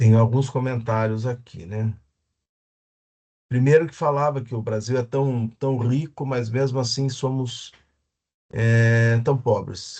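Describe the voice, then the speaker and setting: Speaking at a very slow pace with long, frequent pauses, a man uses a medium pitch and fairly even intonation, sounding somewhat breathy. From Brazil. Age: 60s. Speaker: economics professor. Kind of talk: lecture. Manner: halting.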